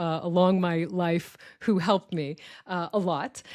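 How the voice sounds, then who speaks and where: A woman speaks with an Israeli accent. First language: Hebrew. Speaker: podcast co-host. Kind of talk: casual chat.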